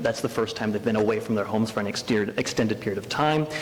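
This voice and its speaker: Medium-pitched male speech with noticeable noise behind it. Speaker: educational program director. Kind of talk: presentation to a school board. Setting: school board meeting. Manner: loud; filler-heavy, hesitant.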